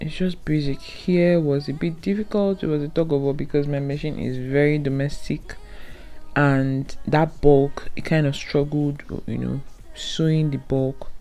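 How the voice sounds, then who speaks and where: The speaker has a non-native accent and fairly even intonation. Audible room echo and music in the background are present. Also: woman, very deep, low pitch for a woman, fairly slow pace. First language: not English. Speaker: sewing tutorial creator. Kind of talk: tutorial. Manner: casual, conversational.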